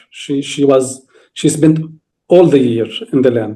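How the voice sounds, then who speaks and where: A man speaks at a fairly slow pace with a Palestinian accent and a fairly high pitch. His tone is dark and mellow. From Palestine, village near Nablus. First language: Arabic. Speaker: farmer and speaker on Palestinian farming. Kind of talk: interview talk on a video call. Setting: video call from Palestine. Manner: halting, with repetitions and restarts.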